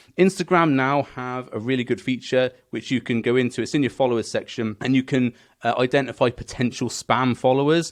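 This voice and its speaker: Against a quiet background, a man with a British accent talks at medium pitch. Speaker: business coach for gym owners. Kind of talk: tutorial. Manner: fast.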